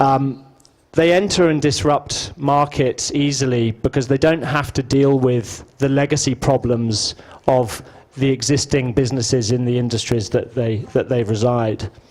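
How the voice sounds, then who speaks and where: A man with a British accent speaks at a medium pitch and moderate pace. His loudness is very even and his intonation fairly even, with noticeable background noise. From Britain. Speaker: business executive and conference speaker. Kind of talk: conference presentation. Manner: hesitant, many fillers.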